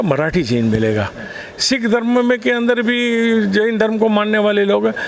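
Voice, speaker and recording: Noticeable background noise runs behind a man as he speaks. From Mumbai, India. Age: 60s. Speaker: politician. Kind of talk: interview. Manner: animated.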